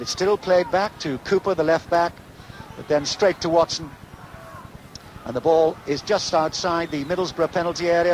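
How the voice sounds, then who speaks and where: Amid noticeable background noise, a man talks at a fairly quick pace with a high pitch. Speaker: radio football commentator. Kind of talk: live radio sports commentary.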